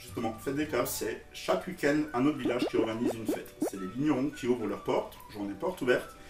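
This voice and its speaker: With music in the background, a man with an Alsatian accent talks at a very fast pace in a medium pitch with lively intonation. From Alsace, France. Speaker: comedic video blogger. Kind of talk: comedic monologue to camera. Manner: animated.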